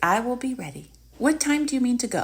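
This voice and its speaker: A woman puts on a character voice with a high pitch. She talks at a fairly quick pace. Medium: read story. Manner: cheerful, cheeky.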